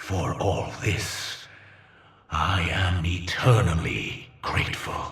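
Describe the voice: A put-on character voice at a slow pace, fairly bright in tone, with ordinary pitch variation. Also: man, low pitch for a man.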